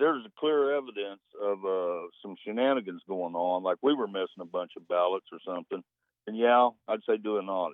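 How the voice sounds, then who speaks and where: A man speaks with an American accent in an unremarkable speaking voice. His pitch is fairly low, with ordinary variation, and his pace is moderate. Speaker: radio caller. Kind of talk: casual call-in conversation. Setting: phone call.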